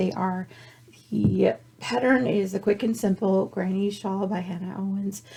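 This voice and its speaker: A dark, mellow tone comes through with some breathiness. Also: woman. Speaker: knitting and crochet podcaster. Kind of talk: casual show-and-tell. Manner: chatty, with false starts.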